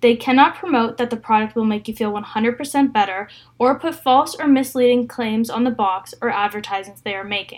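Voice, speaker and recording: On a very clean recording with a silent background, a woman in a plain, everyday voice speaks at a moderate pace and fairly high pitch, with ordinary pitch variation. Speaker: student presenter. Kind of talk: scripted presentation. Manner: reads from script, formal.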